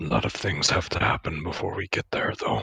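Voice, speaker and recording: A man does a put-on, raspy character voice at a fairly quick pace. The sound is dry and close, with no echo. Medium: actual play.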